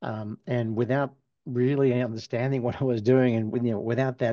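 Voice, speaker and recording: With a dark, mellow tone and ordinary pitch variation, a man speaks at a medium pitch in a dry, close sound with no echo against a quiet background. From Australia. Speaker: physical therapist and professor. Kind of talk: interview.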